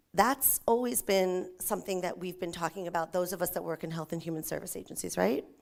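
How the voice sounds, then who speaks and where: A woman talks at a fairly quick pace in a fairly low pitch, with vocal fry and ordinary pitch variation. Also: very clean recording, silent background. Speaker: nonprofit agency presenter. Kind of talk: conference presentation. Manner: fast.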